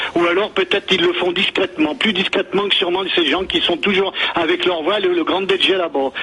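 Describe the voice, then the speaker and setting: Amid noticeable background noise, a man talks at a high pitch and a fairly quick pace, with ordinary pitch variation and very even loudness. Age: 60s. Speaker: radio caller. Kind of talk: heated debate. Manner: halting.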